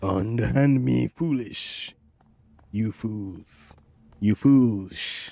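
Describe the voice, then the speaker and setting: Using a put-on character voice, a man speaks at a fairly low pitch and a very slow pace, leaving long, frequent pauses. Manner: roaring, indignant.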